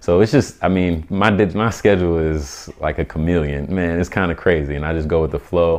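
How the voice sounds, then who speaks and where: A man speaks with a very deep, low voice and fairly even intonation. He goes at a moderate pace with hardly any pauses. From US Midwest (Omaha, Nebraska) and Atlanta. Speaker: photographer and entrepreneur. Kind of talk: casual interview.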